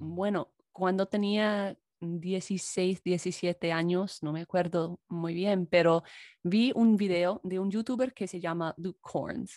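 In an English accent, a woman speaks at a very slow pace and medium pitch, her intonation fairly even, the sound dry and close with no echo. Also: quiet background. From US, Chicago. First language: English (speaking Spanish). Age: 20s. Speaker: YouTuber and English teacher. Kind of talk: casual chat.

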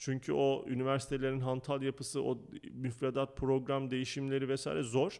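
A man's monotone, flat intonation at very even loudness. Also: medium pitch for a man, moderate pace. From Turkey. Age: 30s. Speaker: school founder and educator. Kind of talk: interview.

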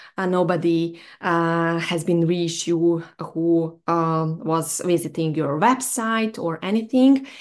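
A woman's fairly low voice at a very slow pace with hardly any pauses, over a quiet background. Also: ordinary pitch variation. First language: not English. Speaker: mindset coach for SEO professionals. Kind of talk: solo video monologue. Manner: halting, many fillers.

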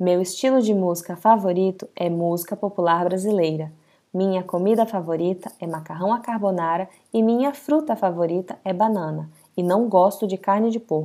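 A woman's medium-pitched voice, dark and mellow in tone with ordinary pitch variation, comes through in a very clean recording with a silent background. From Amazonas, northern Brazil. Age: 20s. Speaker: language-learning podcast host. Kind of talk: scripted reading for language learners. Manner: slow and deliberate; normal conversational pace.

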